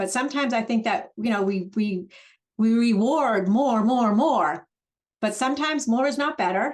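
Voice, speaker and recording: A woman speaks at a moderate pace with a fairly high pitch. Her intonation is lively while her loudness stays very even. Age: 60s. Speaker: real estate broker. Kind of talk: webinar discussion. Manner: halting, many fillers.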